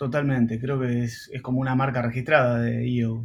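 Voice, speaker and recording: A man speaks at a medium pitch and a fairly slow pace. His voice is somewhat breathy, and his intonation stays flat and monotone. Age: 40s. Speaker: entrepreneur and marketing professor. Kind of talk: casual interview.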